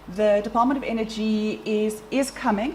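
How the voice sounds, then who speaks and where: A woman speaks in a fairly high pitch, with audible room echo and noticeable background noise. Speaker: science organization representative. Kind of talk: conference presentation. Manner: fast.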